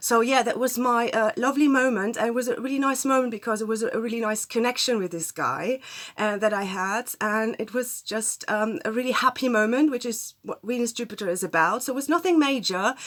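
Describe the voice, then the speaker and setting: With a German accent, a woman talks at a fairly quick pace and fairly high pitch, using ordinary pitch variation and hardly any pauses. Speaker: astrologer. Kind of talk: casual talk to camera. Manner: hesitant, many fillers.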